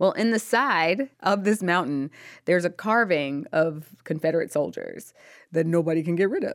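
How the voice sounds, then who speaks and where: Recorded very cleanly against a silent background, a woman with an ordinary speaking voice talks at a moderate pace in a fairly low pitch with lively intonation. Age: 30s. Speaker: author. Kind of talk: interview.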